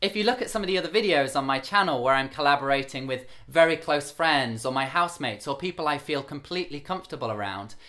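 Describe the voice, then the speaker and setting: Over noticeable background noise, a man talks very fast with hardly any pauses. His fairly high voice has lively intonation. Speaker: video creator.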